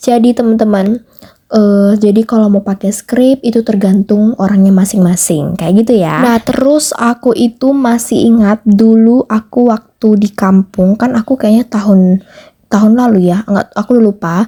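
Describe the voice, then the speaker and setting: A woman speaks at a fairly high pitch with fairly even intonation, in a dry, close sound with no echo. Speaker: home cleaning vlogger. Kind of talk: casual voiceover vlog. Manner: fast; loud, strong.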